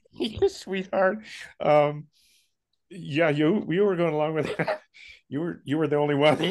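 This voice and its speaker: With a western US accent, a man talks at a fairly slow pace and a fairly high pitch, showing ordinary pitch variation and long, frequent pauses. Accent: western American. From US West, Jackson Hole, Wyoming. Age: 80s+. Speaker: spiritual speaker. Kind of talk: casual chat.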